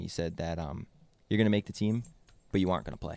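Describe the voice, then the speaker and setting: This man has a normal speaking voice, fairly low in pitch with ordinary variation, captured on a very clean recording with a silent background. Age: 20s. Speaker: podcast host. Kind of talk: casual chat.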